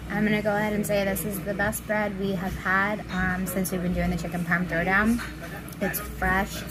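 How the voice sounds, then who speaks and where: At a moderate pace, a woman speaks through loud background noise. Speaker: food reviewer. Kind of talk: casual food review chat. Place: cafe. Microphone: phone near.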